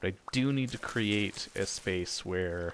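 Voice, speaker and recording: The speaker is soft-spoken, with ordinary pitch variation. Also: man. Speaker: gaming video creator. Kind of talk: let's play commentary. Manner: halting.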